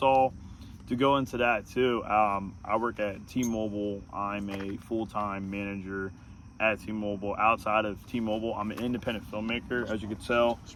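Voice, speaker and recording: The man keeps a moderate pace and fairly even intonation. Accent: American. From US Northeast, Pennsylvania (Norristown). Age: 20s. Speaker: podcast host, independent filmmaker. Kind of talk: casual chat. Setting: outdoors, parked in a high school parking lot.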